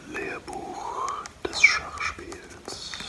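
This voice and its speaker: The speaker is soft-spoken, whispering. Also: man. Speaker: ASMR creator. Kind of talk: soft-spoken ASMR chat. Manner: soft close ASMR whisper. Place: home room. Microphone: phone near.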